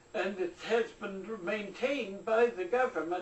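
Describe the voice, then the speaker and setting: Noticeable background noise runs under a woman's medium-pitched voice. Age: 80s+. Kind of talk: interview answer.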